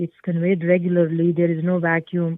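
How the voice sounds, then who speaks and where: At a moderate pace, a woman speaks at a medium pitch in a Pakistani accent. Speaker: change management consultant. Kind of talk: interview. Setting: podcast. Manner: hesitant, many fillers.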